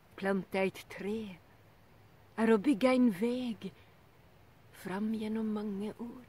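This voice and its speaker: A woman speaks in a solemn tone at a very slow pace, the sound dry with no echo. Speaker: poetry reader. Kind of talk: poem reading. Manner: slow, measured, solemn. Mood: calm, earnest. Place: garden. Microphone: phone near.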